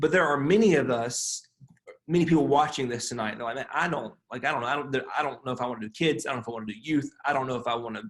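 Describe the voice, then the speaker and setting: Ordinary pitch variation marks a man's speech, which sits fairly high in pitch. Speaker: pastor. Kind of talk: webinar panel talk. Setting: video webinar. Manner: animated.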